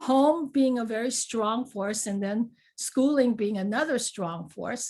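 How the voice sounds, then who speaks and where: Someone speaks with a Chinese accent. The recording is very clean, with a silent background. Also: woman. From US, raised in a Chinatown. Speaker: panel speaker. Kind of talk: personal storytelling at a panel talk. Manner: conversational, many fillers.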